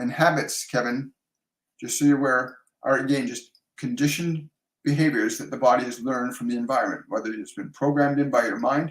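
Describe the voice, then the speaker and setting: A man with a Canadian accent talks at a fairly quick pace in an ordinary speaking voice, his fairly high pitch moving with fairly even intonation. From Canada. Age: 60s. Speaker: psychic medium and life coach. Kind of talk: live stream Q&A, spiritual advice. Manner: warm, conversational with frequent fillers.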